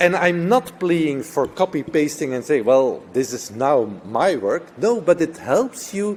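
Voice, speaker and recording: Through noticeable background noise, a man with a non-native accent talks at a very slow pace, his fairly high voice full of lively intonation. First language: not English. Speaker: nursing professor. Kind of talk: conference talk.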